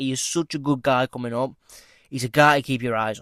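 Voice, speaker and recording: A man speaks with a British accent. The sound is dry and close with no echo, on a very clean recording with a silent background. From UK. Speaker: MMA predictions YouTuber. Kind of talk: casual commentary monologue. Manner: casual, with many fillers.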